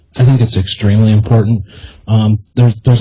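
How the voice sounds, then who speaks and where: A man with an American accent speaks in a somewhat breathy voice with a dark, mellow tone. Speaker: army veteran and podcast host. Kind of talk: interview. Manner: soft-spoken; halting, many repetitions.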